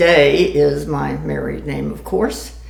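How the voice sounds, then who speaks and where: A woman with an American accent speaks at a very slow pace. Noticeable background noise and audible room echo come through. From Florida, Tampa. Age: 80s+. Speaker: grandmother telling life story. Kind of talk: oral history interview.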